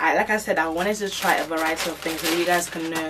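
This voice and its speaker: A woman's fairly low-pitched voice with ordinary pitch variation, music in the background. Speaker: fashion haul vlogger. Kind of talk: casual vlog chat. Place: home room.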